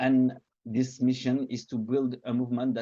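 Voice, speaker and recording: A man's voice, medium in pitch. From Belgium, Liège. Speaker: activist. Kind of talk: online seminar talk. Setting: online seminar. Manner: halting, many fillers.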